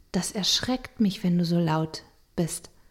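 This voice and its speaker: A woman at a moderate pace. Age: 40s. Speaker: family counselor and podcast co-host. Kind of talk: casual chat.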